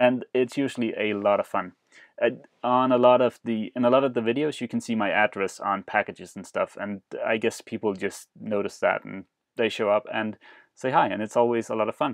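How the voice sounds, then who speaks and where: At a fairly quick pace, a man with a non-native accent talks at medium pitch. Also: fairly even intonation, quiet background. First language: not English. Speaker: sailing vlogger and boat rebuilder. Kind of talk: live stream Q&A. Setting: live stream broadcast. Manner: hesitant, many fillers.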